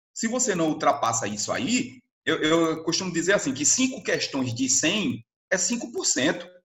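This man speaks high for a man, with very wide pitch swings. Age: 40s. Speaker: literature teacher. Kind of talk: educational talk. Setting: remote recording.

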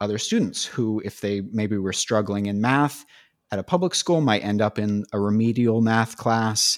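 A man's fairly low voice with a West Coast American accent, at a moderate pace, in a dry, close sound with no echo and a very clean recording over a silent background. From San Francisco Bay Area, California. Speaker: film graduate in entertainment industry. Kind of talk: casual interview conversation.

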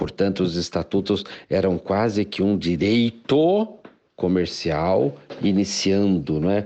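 A man speaking at a very slow pace. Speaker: law professor. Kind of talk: interview. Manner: halting, with many fillers.

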